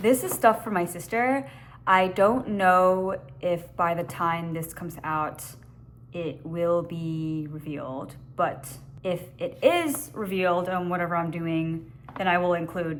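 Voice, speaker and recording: Audible room echo surrounds a woman speaking fairly slowly at a fairly low pitch with ordinary pitch variation. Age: adult. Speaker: lifestyle vlogger. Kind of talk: casual vlog chat. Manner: animated.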